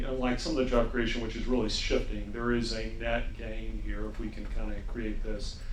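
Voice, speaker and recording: A man with an American accent talks at a moderate pace amid noticeable background noise and audible room echo. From US South, North Carolina. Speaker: panelist on cleantech funding. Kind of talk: panel discussion.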